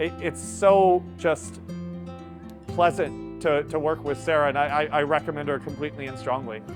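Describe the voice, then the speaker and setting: Music plays behind a man's fairly high voice. His pitch swings very widely. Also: moderate pace. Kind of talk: client testimonial to camera.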